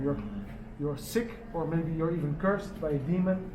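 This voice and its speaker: Over noticeable background noise and audible room echo, a man with a fairly high voice talks at a fairly quick pace with fairly even intonation. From Netherlands. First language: Dutch Sign Language. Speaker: charity organizer for deaf people. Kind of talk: press conference talk. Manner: halting.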